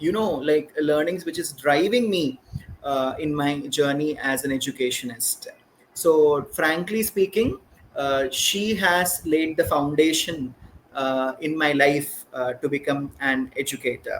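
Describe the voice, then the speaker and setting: A man speaks in a Keralan accent at a fairly high pitch. He talks fairly slowly, with ordinary pitch variation. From India, Hyderabad (Telangana). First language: Malayalam. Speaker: educator, school principal. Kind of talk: podcast interview. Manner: hesitant, many fillers.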